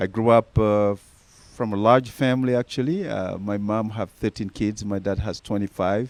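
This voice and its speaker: A man with a strong Senegalese accent speaks at a moderate pace in a fairly low voice, his intonation fairly even and the sound dry and close with no echo. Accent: thick Senegalese. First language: Senegalese native language, also French. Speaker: nonprofit founder. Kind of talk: interview.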